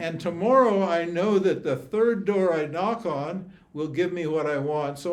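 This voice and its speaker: A man speaks with a high pitch and ordinary pitch variation. Audible room echo surrounds his voice. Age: 80s+. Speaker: spiritual teacher. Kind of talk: teaching Q&A with students. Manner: animated.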